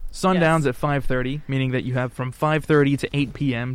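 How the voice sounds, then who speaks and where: At a moderate pace, a man with an ordinary speaking voice speaks at a medium pitch with fairly even intonation. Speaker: podcast host. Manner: casual, conversational.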